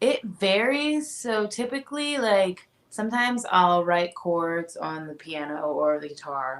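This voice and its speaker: A woman with a Japanese accent speaks at a fairly slow pace and medium pitch. Her voice makes very wide pitch swings and big jumps in loudness. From US Midwest, Indianapolis. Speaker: singer-songwriter. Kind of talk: radio interview.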